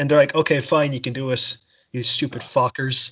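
A man with an Irish accent, at a moderate pace, in a flat, monotone delivery. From Ireland. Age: 20s. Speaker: podcast host. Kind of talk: casual chat.

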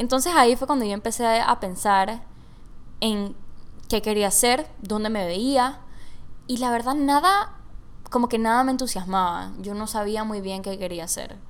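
Over audible room echo, someone talks in an animated tone at a fairly slow pace, with ordinary pitch variation and long, frequent pauses. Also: woman, fairly high pitch for a woman. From Panama. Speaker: podcast host. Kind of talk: casual monologue. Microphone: large microphone close by.

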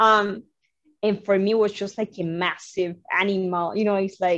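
Here a woman speaks with a Cuban accent. Her pitch is medium and her intonation fairly even. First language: Spanish. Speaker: flutist, composer and music instructor. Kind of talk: interview conversation.

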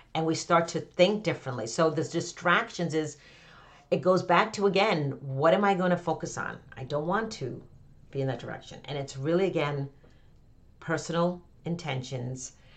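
In a normal speaking voice, a woman talks at a moderate pace and a fairly low pitch. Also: ordinary pitch variation. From Connecticut, US. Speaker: author and business coach. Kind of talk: podcast interview.

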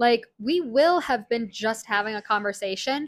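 A woman's fairly high voice at a moderate pace, with ordinary pitch variation and a dry, close sound with no echo. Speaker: photographer and co-host. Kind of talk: casual chat. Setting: home recording. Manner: laid back.

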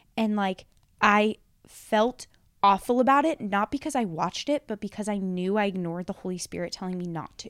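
At a medium pitch and a fairly quick pace, a woman with a normal speaking voice shows ordinary pitch variation on a very clean recording with a silent background and a dry, close sound with no echo. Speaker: podcast host. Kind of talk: casual chat.

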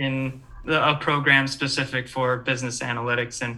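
With a Midwestern American accent, a man speaks at a moderate pace in a medium-pitched voice with a bright, sharp tone and ordinary pitch variation. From Michigan, East Lansing. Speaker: former university student and sports fan. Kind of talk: casual chat. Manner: halting, many fillers.

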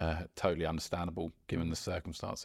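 Speaking fairly quickly, a man has a very deep, low voice and a southern English accent. The recording is very clean, with a silent background. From Surrey, southern England. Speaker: amateur golfer. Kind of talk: casual chat. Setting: golf club.

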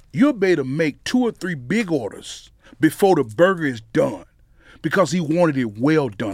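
A man with a Mississippi accent, fairly high in pitch, his voice swinging very widely up and down, at a moderate pace. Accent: Southern US, Mississippi. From Mississippi, US South. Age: 40s. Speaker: pitmaster and pastor. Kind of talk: casual interview.

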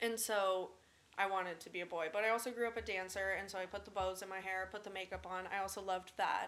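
A woman talks at a fairly quick pace in a medium pitch, her intonation flat and monotone. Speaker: college student. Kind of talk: casual chat.

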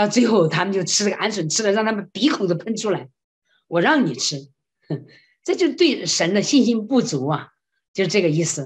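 Somewhat breathy, a woman speaks with very wide pitch swings and long, frequent pauses. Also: medium pitch for a woman, moderate pace. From China. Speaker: classical singer and voice professor. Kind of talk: interview testimony. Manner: animated.

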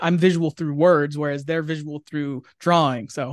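A man with an American accent and an unremarkable speaking voice, fairly high in pitch, with fairly even intonation at a moderate pace, in a dry, close sound with no echo against a quiet background. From Pennsylvania, US. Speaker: comic book writer. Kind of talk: casual interview. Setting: video call.

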